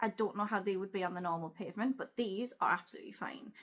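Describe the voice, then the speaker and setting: This woman speaks in a Geordie accent. She moves at a fairly quick pace with ordinary pitch variation. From Newcastle, North East England. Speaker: travel vlogger. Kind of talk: casual talk to camera.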